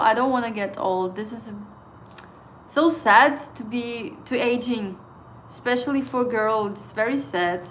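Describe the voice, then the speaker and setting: A woman with a non-native accent speaks at a fairly high pitch and a fairly slow pace, with ordinary pitch variation. Her loudness swings widely, and the room echo is audible. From Estonia. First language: Estonian. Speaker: trading livestreamer. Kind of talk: casual livestream chat. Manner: halting.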